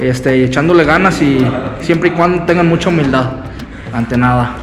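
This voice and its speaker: Audible room echo and noticeable background noise surround a man speaking at a fairly high pitch and a fairly quick pace. His pitch variation is ordinary and his loudness very even. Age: 20s. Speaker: amateur wrestler. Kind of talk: interview.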